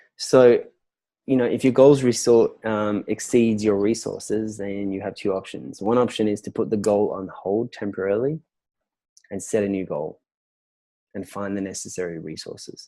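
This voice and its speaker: A man's fairly low, dark and mellow voice with an Australian accent, big swings in loudness, and a very clean recording over a silent background. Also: ordinary pitch variation, moderate pace. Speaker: business and relationship coach. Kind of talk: interview answer.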